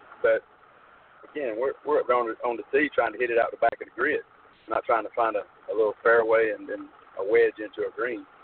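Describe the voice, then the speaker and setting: A man talks at a very fast pace, yet with long, frequent pauses. Noticeable background noise runs underneath. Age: 40s. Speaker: long drive competitor and board member. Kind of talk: radio interview. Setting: phone call from a truck.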